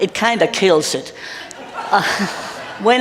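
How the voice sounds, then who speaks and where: Lively intonation from a woman, with audible room echo and noticeable background noise. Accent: Danish. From Denmark. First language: Danish. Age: old. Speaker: retired minister. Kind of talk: interview in church service.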